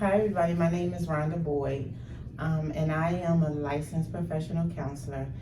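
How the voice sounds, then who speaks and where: Over noticeable background noise and audible room echo, a woman speaks at a fairly quick pace with fairly even intonation. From Philadelphia, US. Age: 50s. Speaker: licensed counselor. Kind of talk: podcast interview.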